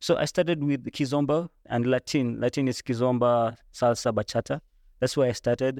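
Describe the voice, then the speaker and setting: Recorded very cleanly with a silent background and a dry, close sound with no echo, a man speaks in a normal speaking voice at medium pitch, moderate pace and very even loudness. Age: 20s. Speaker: singer and dancer. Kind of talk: interview.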